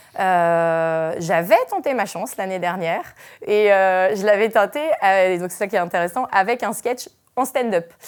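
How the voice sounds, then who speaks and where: On a very clean recording with a silent background, a woman delivers her words very slowly. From Brittany, France. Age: 30s. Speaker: comedian. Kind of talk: interview. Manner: hesitant, many fillers.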